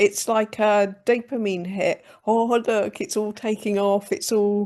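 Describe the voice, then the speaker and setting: A woman with a West Country accent speaks at a very slow pace, fairly high in pitch with fairly even intonation, against a quiet background. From England, Gloucestershire. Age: 50s. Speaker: comedian. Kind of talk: podcast interview.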